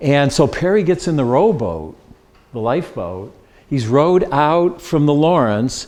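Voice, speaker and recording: A plain, everyday voice at a fairly slow pace with lively intonation. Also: man, fairly high pitch for a man. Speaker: local history presenter. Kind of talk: slide presentation to a dinner audience.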